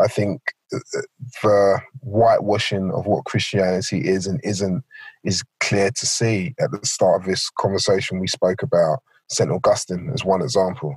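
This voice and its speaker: Somewhat breathy and fairly low-pitched, a man talks at a moderate pace with ordinary pitch variation, recorded dry and close with no echo. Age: 40s. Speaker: pastor. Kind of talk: interview.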